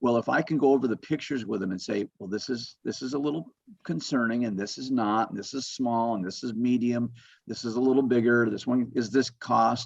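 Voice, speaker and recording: Speaking at a fairly quick pace with an American accent, the man has a normal speaking voice, medium pitch, and fairly even intonation. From Las Vegas, US West. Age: 60s. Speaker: home inspector. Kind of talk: webinar presentation. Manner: casual, conversational.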